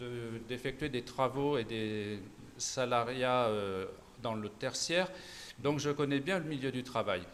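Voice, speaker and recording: A man speaks at a medium pitch with ordinary pitch variation. His pace is very slow, broken by long, frequent pauses. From Auvergne-Rhône-Alpes, France. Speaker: political candidate, nurse. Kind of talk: political debate. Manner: halting, many hesitations.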